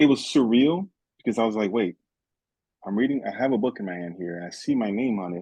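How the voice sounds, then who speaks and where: A man's medium-pitched, dark, mellow voice in a Haitian accent, very fast with long, frequent pauses, lively intonation and big swings in loudness, dry and close with no echo. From Haiti, raised in South Florida. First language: Haitian Creole. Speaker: author and teacher. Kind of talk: interview. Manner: halting.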